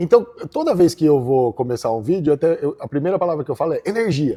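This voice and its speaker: Very fast and lively in intonation, a man with a dark, mellow tone and high pitch is heard on a very clean recording with a silent background. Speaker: agribusiness lawyer. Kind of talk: interview answer.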